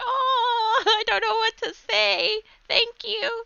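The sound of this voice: In a put-on character voice, a female-sounding speaker goes at a very slow pace with an extremely high pitch for a woman.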